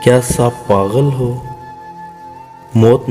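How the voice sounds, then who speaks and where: Music in the background behind a man's medium-pitched voice with fairly even intonation. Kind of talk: poetry reading.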